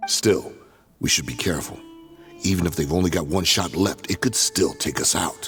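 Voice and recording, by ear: Faint music plays behind a man doing a put-on character voice that is low-pitched with a husky, rough edge, delivered at a moderate pace with ordinary pitch variation. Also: fairly bright tone.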